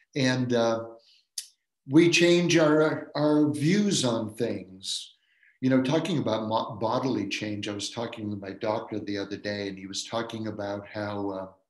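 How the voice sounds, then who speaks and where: Amid audible room echo, a man speaks at a medium pitch and a fairly slow pace, with big swings in loudness. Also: ordinary pitch variation. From Maine, Washington County. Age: 70s. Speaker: professor of philosophy and religion. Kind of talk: dharma lecture.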